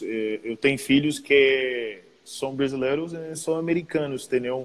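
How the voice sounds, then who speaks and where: A man with an English accent, fairly high pitch and ordinary pitch variation. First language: English (speaking Portuguese). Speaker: professional basketball player. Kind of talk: casual chat.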